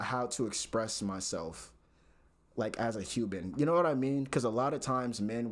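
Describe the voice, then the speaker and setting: With an ordinary speaking voice, a man keeps a medium pitch and ordinary pitch variation at a moderate pace. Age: 20s. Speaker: recent computer science graduate. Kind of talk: casual talk to camera.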